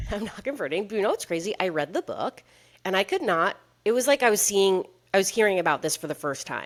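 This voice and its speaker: Speaking at a very fast pace, a woman uses lively intonation and an animated tone. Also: medium pitch for a woman. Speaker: podcast co-host. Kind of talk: casual chat.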